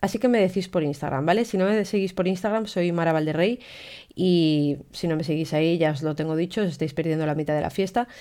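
On a very clean recording with a silent background, a woman with a fairly low pitch and a dark, mellow tone speaks at a fairly quick pace with ordinary pitch variation. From Spain, León. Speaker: photographer and podcaster. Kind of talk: casual solo podcast monologue. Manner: animated.

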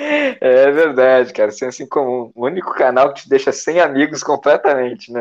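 A man with an ordinary speaking voice, fairly high pitch, a moderate pace, hardly any pauses, fairly even intonation and big swings in loudness. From Brazil, Santa Catarina coast. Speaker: podcast co-host. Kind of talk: casual comedic chat.

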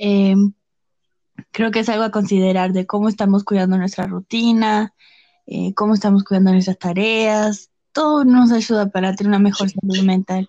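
A woman's dark, mellow tone at a moderate pace, dry and close with no echo, over a quiet background. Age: 20s. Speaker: podcast guest, host's sister. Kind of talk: casual chat.

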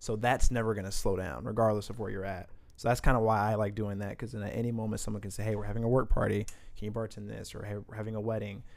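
At a very fast pace, a man with a Midwestern US accent speaks in a fairly low pitch with monotone, flat intonation and big swings in loudness. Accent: US Midwest. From Indianapolis, Indiana (born St. Paul, Minnesota). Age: 20s. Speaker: bartender. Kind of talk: casual chat. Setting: studio.

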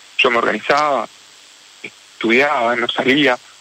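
Noticeable background noise behind a man's voice of typical pitch movement. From Argentina, Rosario. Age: 40s. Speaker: orthopedic surgeon and popcorn vendor. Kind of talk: radio interview. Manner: halting, repeats words.

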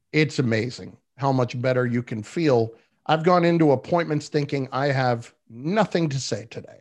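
A man with an ordinary speaking voice talks at a moderate pace, fairly high in pitch, with ordinary pitch variation. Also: quiet background. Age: 40s. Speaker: sports radio host. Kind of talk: casual chat.

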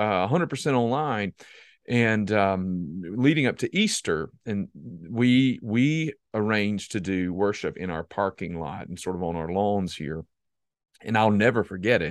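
Fairly low in pitch, a man with an American accent has an unremarkable speaking voice, a fairly slow pace and lively intonation. The sound is dry and close with no echo, over a quiet background. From US South, South Carolina. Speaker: pastor and podcast host. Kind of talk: casual interview conversation.

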